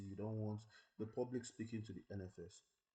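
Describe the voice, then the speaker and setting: A very fast-talking man with a medium pitch, a somewhat breathy quality and a dark, mellow tone. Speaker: tech tutorial creator. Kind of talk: tutorial.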